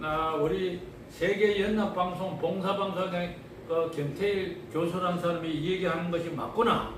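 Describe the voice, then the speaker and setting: In a Gyeongsang accent, a man with a high pitch talks at a fairly slow pace, with audible room echo and noticeable background noise. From Gyeongsang region, South Korea. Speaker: health lecturer. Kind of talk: health talk to listeners.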